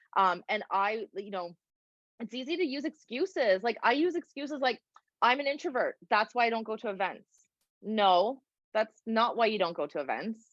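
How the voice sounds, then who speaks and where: With lively intonation and a moderate pace, a fairly high-pitched woman speaks in a dry, close sound with no echo. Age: 40s. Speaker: mortgage broker. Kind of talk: webinar discussion. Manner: animated.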